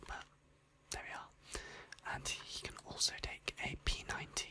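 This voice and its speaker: A whispering woman with a British accent. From United Kingdom. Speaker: ASMR creator. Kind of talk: ASMR gaming profile reading. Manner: whispered. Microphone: studio mic.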